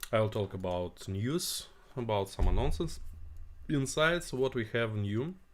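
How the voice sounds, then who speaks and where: Speaking very slowly, a man with a Russian accent uses lively intonation at a medium pitch. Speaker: tech company CEO. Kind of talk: live stream Q&A. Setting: live stream. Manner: halting, many fillers.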